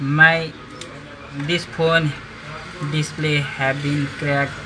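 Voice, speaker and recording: Delivered at a very slow pace in a monotone, flat intonation, the speech carries a Nepali accent amid audible room echo and noticeable background noise. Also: man, fairly high pitch for a man. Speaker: phone repair vlogger. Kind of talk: tutorial. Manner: halting.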